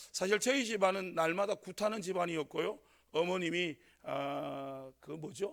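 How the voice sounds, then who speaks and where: This man speaks with a strong Gyeongsang accent at a moderate pace. His voice is high-pitched for a man, with ordinary pitch variation. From North Gyeongsang, Korea (Sangju). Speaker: pastor. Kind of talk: sermon. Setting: church. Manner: hesitant, many fillers.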